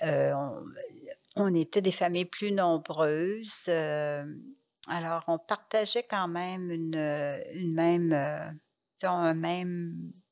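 Speaking at a very slow pace with long, frequent pauses, a woman uses a fairly low pitch and ordinary pitch variation against a quiet background. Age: 80s+. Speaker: nun and trained nurse. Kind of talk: interview testimony. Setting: monastery.

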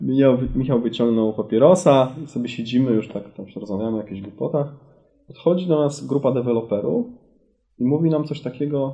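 A man speaks in a plain, everyday voice at medium pitch. His loudness swings widely, while his pitch varies an ordinary amount. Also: fairly quick pace. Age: 40s. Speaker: company CEO. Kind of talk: interview.

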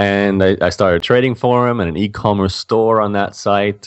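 An Australian accent at a fairly quick pace. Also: man. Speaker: blogger and online entrepreneur. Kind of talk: interview.

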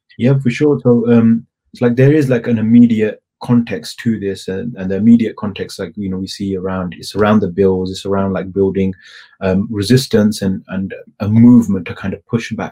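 The man has a British accent and fairly even intonation. His loudness swings widely. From England. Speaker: activist. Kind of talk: interview. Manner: hesitant, many fillers.

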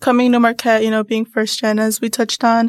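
A woman with an American accent speaks in a high-pitched voice. The sound is dry and close, with no echo. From northern Illinois, US. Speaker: university student. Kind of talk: podcast interview.

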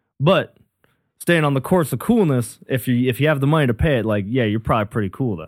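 Talking at a very fast pace, a man keeps a medium pitch and lively intonation. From Minnesota, US Upper Midwest. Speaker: comedian. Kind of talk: casual chat.

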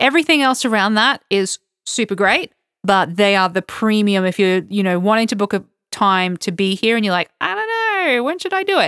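In an Australian accent, a woman speaks at a moderate pace with a medium pitch and ordinary pitch variation. Her loudness stays very even on a very clean recording with a silent background. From Australia, Queensland (Toowoomba). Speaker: podcast co-host, travel blogger. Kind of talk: casual chat. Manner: laughs often.

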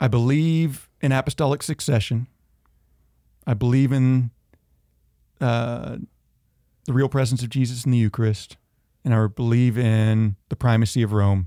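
A man in a Southern US accent, dark and mellow in tone, at a moderate pace with fairly even intonation, very even loudness and long, frequent pauses, on a very clean recording with a silent background. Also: medium pitch for a man, dry, close sound with no echo. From US South (Georgia and northeast Tennessee). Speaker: school administrator, recent convert. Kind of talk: faith testimony in casual interview.

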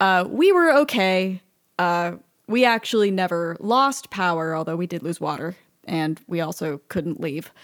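A woman with an American accent has a normal speaking voice, fairly low in pitch, with lively intonation. She talks at a fairly slow pace in a very clean recording with a silent background. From Texas, Austin. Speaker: sound designer and game composer. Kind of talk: interview conversation.

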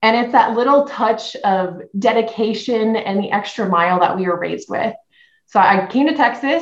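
A woman speaks with a fairly high pitch. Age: 20s. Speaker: podcast guest, marketing executive. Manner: fast talker.

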